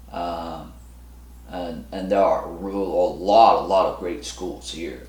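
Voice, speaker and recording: There is audible room echo around the voice. A man speaks with ordinary pitch variation. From South Korea. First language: Korean. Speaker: real estate broker. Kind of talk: casual monologue to camera. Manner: halting, many fillers and restarts.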